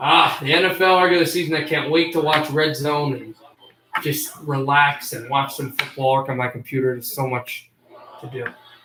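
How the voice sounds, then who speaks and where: Speaking at a moderate pace, a man keeps a fairly high pitch and fairly even intonation. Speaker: livestream host. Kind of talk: live commentary. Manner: bored, flat.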